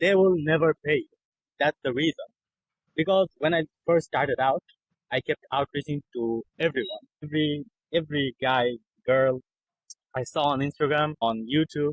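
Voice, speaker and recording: The speaker has a non-native accent and fairly even intonation at a moderate pace. Long pauses come often. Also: man, fairly high pitch for a man. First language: not English. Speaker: copywriter. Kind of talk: interview.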